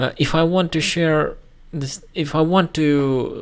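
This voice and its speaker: In a Russian accent, a man speaks at a fairly slow pace on a very clean recording with a silent background. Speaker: YouTuber. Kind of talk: casual commentary video. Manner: halting, many fillers.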